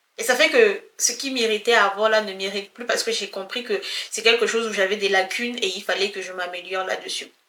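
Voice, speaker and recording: A woman with a normal speaking voice talks at a moderate pace. Her pitch is fairly high, with ordinary variation. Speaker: personal development vlogger. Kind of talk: casual motivational talk to camera.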